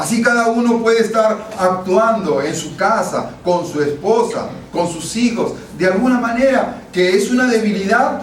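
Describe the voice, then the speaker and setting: Shouting in a high pitch with ordinary pitch variation, a man is heard amid noticeable background noise and audible room echo. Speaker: pastor. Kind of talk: sermon. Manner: sounds like shouting.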